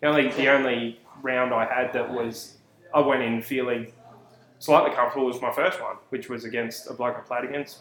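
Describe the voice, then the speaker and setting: A man with an Australian accent talks at a fairly quick pace. His pitch is medium and his intonation fairly even. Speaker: podcast host. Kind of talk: casual banter.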